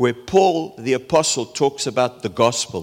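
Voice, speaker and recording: This is an ordinary speaking voice. A man talks at a fairly slow pace. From South Africa. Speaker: preacher. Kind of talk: sermon.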